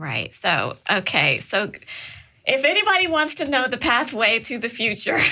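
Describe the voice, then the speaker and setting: Over noticeable background noise, a woman speaks in a high pitch that swings very widely. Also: moderate pace. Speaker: podcast host. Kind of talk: podcast interview host.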